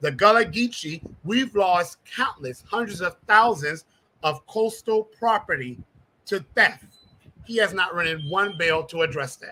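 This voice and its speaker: A man's raised, projected voice, high-pitched with a bright, sharp tone and lively intonation. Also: fairly slow pace. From US South, South Carolina lowcountry (Jasper County). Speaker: congressional candidate. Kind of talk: interview.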